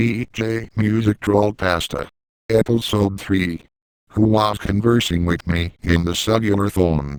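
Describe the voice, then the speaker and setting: A man speaks at a fairly slow pace. His pitch is fairly low. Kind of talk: episode title announcer. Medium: read story.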